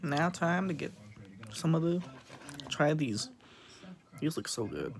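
A man speaks at a moderate pace in a somewhat breathy voice over light background noise. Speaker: food vlogger. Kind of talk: casual vlog chat. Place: home room. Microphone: phone near.

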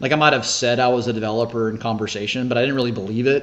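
A man with a Southern US accent speaks at a very fast pace. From US South, Shreveport, Louisiana; Louisiana. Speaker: senior living developer; podcast guest. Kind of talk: casual interview. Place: home room. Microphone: video call.

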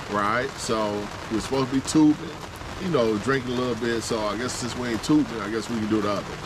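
A man speaks at a very fast pace with ordinary pitch variation, in a dry sound with no echo and noticeable background noise. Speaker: camping vlogger. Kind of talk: casual vlog chat. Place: tent. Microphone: phone near.

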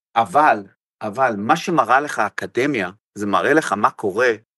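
Bright and sharp in tone, a man at medium pitch speaks with lively intonation. The sound is dry and close with no echo, over a quiet background. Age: 60s. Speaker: football coach. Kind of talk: interview.

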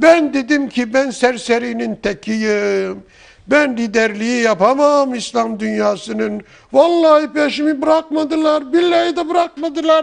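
This man uses a put-on character voice with an extremely high pitch. He speaks at a moderate pace. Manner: mocking, tearful.

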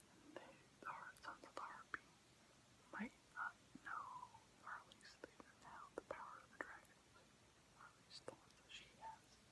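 Whispering, a man speaks at a moderate pace. His pauses are long and frequent. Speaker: ASMR creator. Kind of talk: ASMR whispered commentary. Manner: whispered. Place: home room. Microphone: phone near.

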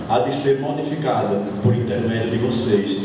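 A man speaks with ordinary pitch variation in strong room echo, with light background noise. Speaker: cordel poet. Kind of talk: formal ceremonial speech. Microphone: pa.

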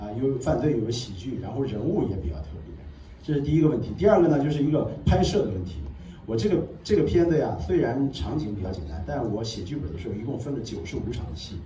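A man talks at a very fast pace with very wide pitch swings around a medium pitch, over noticeable background noise. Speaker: film director. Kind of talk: Q&A at film premiere. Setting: stage with audience. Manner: halting.

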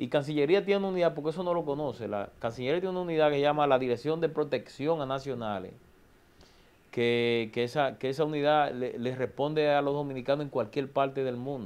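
This man has a fairly high pitch with ordinary pitch variation. He talks at a very fast pace. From Dominican Republic, Santo Domingo; Dominican Republic. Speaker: government official and politician; politician. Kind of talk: TV interview. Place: studio. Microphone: lapel.

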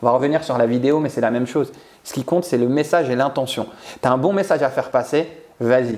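Speaking very fast, a man with a medium pitch shows ordinary pitch variation. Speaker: public speaking coach. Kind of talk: interview, coaching advice. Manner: animated. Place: home room. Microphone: lapel.

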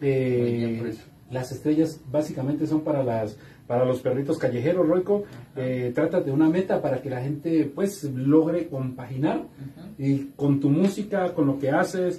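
Fairly high in pitch with ordinary variation, this man's voice has a dark, mellow tone. He is somewhat breathy and speaks at a fairly slow pace. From Colombia. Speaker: online talk show host. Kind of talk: live stream interview. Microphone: camera far.

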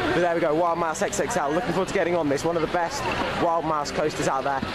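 Loud background noise behind a man's voice. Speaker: vlogger. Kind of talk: casual vlog chat. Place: market. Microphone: phone near.

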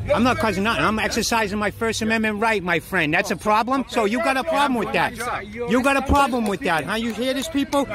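The voice carries a Boston accent with ordinary pitch variation. The sound is dry with no echo, though noticeable background noise comes through. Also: man. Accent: Boston, Massachusetts. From Massachusetts. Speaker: camera-wielding police auditor filming officers. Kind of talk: casual, profane street speech. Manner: confrontational, taunting. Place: street. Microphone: phone near.

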